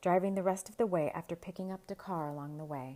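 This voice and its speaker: A woman speaks in a normal speaking voice at medium pitch. Her pace is fairly quick. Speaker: podcast host and storyteller. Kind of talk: story narration read aloud.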